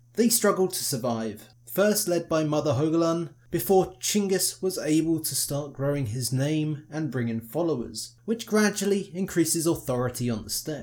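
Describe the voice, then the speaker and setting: Speaking at a moderate pace, a man with a fairly high pitch and lively intonation has an unremarkable speaking voice. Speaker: podcast host, history narrator. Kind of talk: history documentary narration, scripted. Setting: solo recording, podcast. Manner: formal, measured; steady, authoritative storytelling pace.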